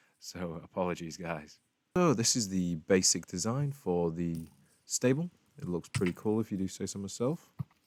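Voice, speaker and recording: A man talks with a very deep, low pitch and lively intonation. His pace is moderate. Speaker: gaming youtuber. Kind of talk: gameplay commentary. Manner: casual, halting.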